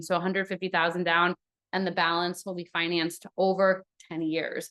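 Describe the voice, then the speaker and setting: The woman talks at a fairly quick pace. Her pitch is medium. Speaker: real estate broker. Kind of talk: live webinar sales presentation. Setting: live online webinar. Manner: fast.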